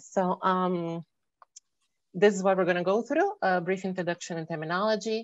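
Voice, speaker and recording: Speaking with a Portuguese accent, a woman keeps a fairly quick pace and a fairly low pitch. Her intonation is fairly even, and the sound is dry and close with no echo. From Brazil. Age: 30s. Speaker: electrical engineer. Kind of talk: presentation. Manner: fast.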